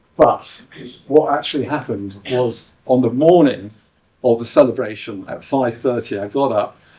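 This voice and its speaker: Medium-pitched man with an English accent and ordinary pitch variation. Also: moderate pace. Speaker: artist and producer. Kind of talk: live performance talk to audience. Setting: exhibition venue with live audience. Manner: hesitant, many ums and uhs.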